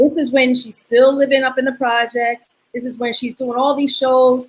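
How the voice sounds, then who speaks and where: A woman's high-pitched voice with monotone, flat intonation. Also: moderate pace. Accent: New York. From New York (Queens). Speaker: dance choreographer. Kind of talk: interview. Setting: video call.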